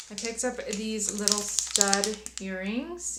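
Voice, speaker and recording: Over noticeable background noise and audible room echo, a woman with a medium-pitched voice speaks at a fairly slow pace. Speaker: beauty youtuber. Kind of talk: haul video, casual chat to camera. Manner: animated.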